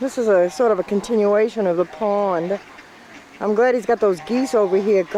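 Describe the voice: Fairly slow speech in a Boston accent over noticeable background noise. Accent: Boston accent, dropped Rs.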